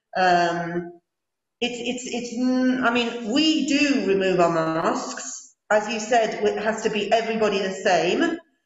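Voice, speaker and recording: A woman's fairly high, lively voice at a fairly slow pace, with audible room echo. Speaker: English teacher. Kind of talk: meeting discussion. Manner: slow, articulated; halting.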